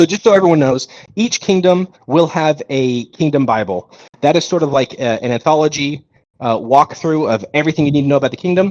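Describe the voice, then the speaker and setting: Recorded with a dry, close sound with no echo, a man talks in a plain, everyday voice. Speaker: game studio founder. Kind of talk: live Q&A stream.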